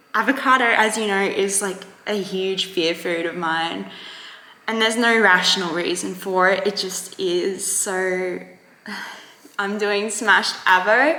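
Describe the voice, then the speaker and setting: In an Australian accent, a woman speaks at a fairly slow pace and medium pitch, with audible room echo and noticeable background noise. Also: ordinary pitch variation. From Australia, Queensland. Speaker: vlogger sharing eating disorder recovery. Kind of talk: casual vlog talk to camera. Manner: rambling, hesitant with many fillers.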